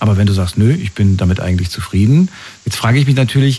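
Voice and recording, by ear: This man has a fairly low pitch with ordinary pitch variation. His slightly mellow tone carries vocal fry and a slightly husky edge.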